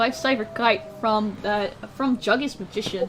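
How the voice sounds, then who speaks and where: Over noticeable background noise, a woman talks at a fairly slow pace with a fairly high pitch. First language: not English. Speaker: esports commentator. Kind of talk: live commentary.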